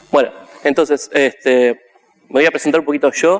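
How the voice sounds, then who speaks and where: The speech moves at a fairly slow pace in a dry, close sound with no echo. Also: man. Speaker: conference speaker; software developer. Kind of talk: conference talk.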